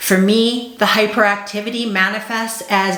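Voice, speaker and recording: A woman speaks at a medium pitch and a moderate pace with fairly even intonation. Audible room echo and noticeable background noise are present. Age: 40s. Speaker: ADHD coach. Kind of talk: vlog monologue.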